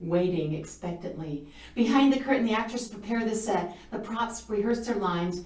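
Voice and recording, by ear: Natural-voiced reading aloud, its pitch varying in an ordinary way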